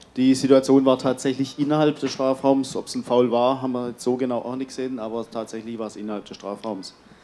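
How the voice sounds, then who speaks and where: Speaking very fast, a man holds a monotone, flat intonation. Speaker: press conference moderator. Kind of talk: press conference. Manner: halting. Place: hall. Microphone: handheld.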